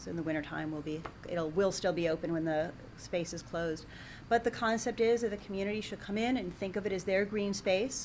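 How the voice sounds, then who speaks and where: Speaking in a normal speaking voice, a woman talks at a fairly quick pace with a medium pitch and ordinary pitch variation. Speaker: library director. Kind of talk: public meeting report.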